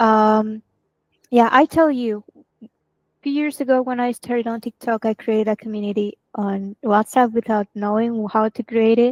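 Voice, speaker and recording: In a dry, close sound with no echo, a woman with a fairly high pitch talks at a moderate pace, with fairly even intonation and long, frequent pauses. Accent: Spanish. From Venezuela. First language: Spanish. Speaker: marketing team member. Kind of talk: casual chat.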